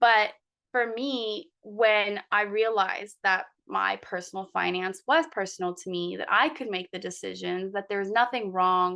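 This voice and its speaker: A woman with a bright, sharp tone speaks at a fairly slow pace against a quiet background. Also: medium pitch for a woman, ordinary pitch variation. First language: not English. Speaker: lawyer and coaching client. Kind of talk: interview.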